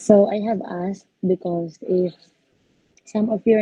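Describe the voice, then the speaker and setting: Speaking at a fairly slow pace, a woman uses a Visayan Filipino accent. Her delivery is flat and monotone, and somewhat breathy. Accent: Filipino (Cebuano) English. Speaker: engineering lecturer. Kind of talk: class orientation. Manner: hesitant, many fillers.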